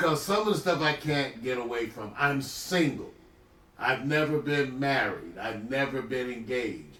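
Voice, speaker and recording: Fairly slow delivery with ordinary pitch variation and audible room echo. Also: man. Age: 60s. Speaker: livestream host, retired physician. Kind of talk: casual chat. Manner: animated.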